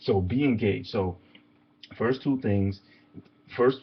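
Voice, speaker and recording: A somewhat breathy, fairly low male voice with an American accent. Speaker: motivational coach. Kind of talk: motivational talk. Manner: fast.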